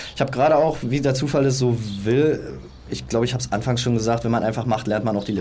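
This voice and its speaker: A man talking at a very fast pace with ordinary pitch variation, amid audible room echo and noticeable background noise. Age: 30s. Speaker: personal trainer and aspiring entrepreneur. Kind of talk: casual interview. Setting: outdoors on a sunny balcony.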